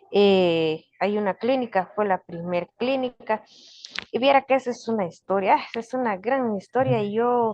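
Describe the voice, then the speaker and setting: Recorded with a dry, close sound and no echo, a woman speaks at a fairly slow pace in a fairly high pitch with ordinary variation. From Guatemala, Kaqchikel Maya community. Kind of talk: interview. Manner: halting.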